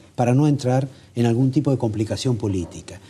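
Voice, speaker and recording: The voice has a dark, mellow tone, is somewhat breathy, and shows ordinary pitch variation against a quiet background. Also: man. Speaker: TV interviewer. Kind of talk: TV interview.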